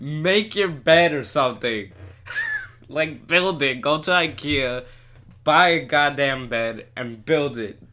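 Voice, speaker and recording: A man speaks at a very slow pace in a fairly high pitch with ordinary pitch variation, against noticeable background noise. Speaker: podcast co-host. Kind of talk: casual chat. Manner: halting, many pauses.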